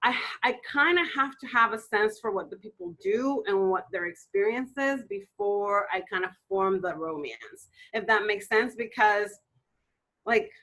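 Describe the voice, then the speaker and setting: A woman talks at a fairly slow pace with a Spanish accent. Her pitch is fairly high, with ordinary variation. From Dominican Republic. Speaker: romance novelist. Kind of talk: interview.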